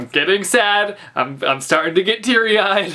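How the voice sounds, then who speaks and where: Ordinary pitch variation marks a man's speech at a moderate pace in a quiet background. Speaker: book vlogger. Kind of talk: casual vlog chat. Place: home room.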